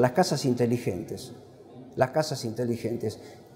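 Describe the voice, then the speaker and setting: The man's voice has a dark, mellow tone. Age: 70s. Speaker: professor. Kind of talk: book presentation lecture. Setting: classroom with audience. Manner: animated.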